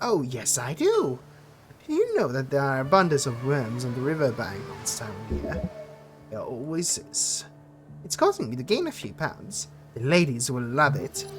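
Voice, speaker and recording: Putting on a squeaky character voice, a man speaks at medium pitch and a moderate pace. Background noise is clearly audible. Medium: virtual streamer. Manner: annoying, cheerful.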